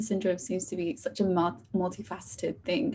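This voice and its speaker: A woman speaks with lively intonation and vocal fry. Her tone is dark and mellow. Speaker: university student. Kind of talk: podcast interview.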